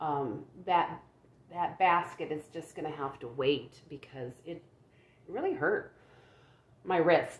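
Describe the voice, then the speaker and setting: A woman speaks quietly and very slowly, with long, frequent pauses. Her loudness swings widely while her pitch varies in an ordinary way. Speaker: crochet vlogger. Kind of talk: casual chat. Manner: halting, many fillers and repeats; low-pitched, quiet.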